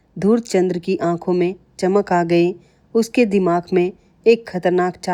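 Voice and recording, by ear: Natural-voiced reading aloud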